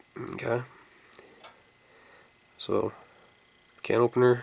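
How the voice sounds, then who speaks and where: The speech is fairly slow, and there is noticeable background noise. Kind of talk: casual product review to camera. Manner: casual, hesitant with fillers.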